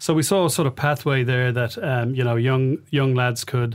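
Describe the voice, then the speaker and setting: A man at medium pitch and moderate pace, on a very clean recording with a silent background. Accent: Dublin. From Ireland, Dublin (Rialto, Liberties). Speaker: football club investor. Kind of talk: interview. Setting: studio. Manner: hesitant, many filler sounds.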